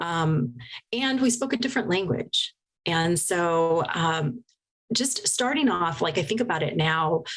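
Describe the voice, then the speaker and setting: At a fairly slow pace, a woman speaks in a fairly low pitch with very wide pitch swings but very even loudness. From Oregon, US (Portland area). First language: Spanish. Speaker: hypnotherapist. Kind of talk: interview testimony.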